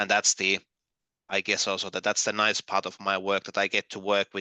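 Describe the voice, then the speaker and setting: A man with a Finnish accent speaks at a fairly low pitch. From Finland. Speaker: gamification trainer and consultant. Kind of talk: online workshop presentation. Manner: halting, many fillers and repeats.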